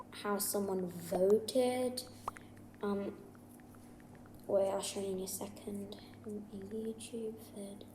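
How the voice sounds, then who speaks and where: A woman mumbles at a medium pitch with ordinary pitch variation over noticeable background noise. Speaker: gaming YouTuber. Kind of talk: casual game tutorial to viewers. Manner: mumbling.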